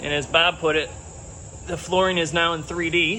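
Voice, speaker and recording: A man with an American accent speaks in a high pitch at a moderate pace. His intonation is fairly even, and there is noticeable background noise. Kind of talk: casual walking tour narration.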